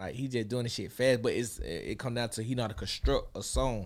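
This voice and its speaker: At a fairly quick pace, a man talks in an unremarkable speaking voice of medium pitch with ordinary pitch variation. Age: 20s. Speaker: rapper. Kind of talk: casual chat.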